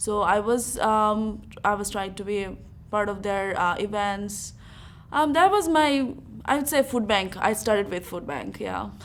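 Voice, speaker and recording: In a room with audible echo, a woman speaks at a fairly slow pace and medium pitch with ordinary pitch variation. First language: not English. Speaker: university student. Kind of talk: interview. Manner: hesitant, many fillers.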